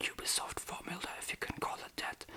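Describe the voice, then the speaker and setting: Someone whispers at a moderate pace with a non-native accent, with noticeable background noise behind. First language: German. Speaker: ASMR creator. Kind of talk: ASMR rambling. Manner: whispered; casual, rambling.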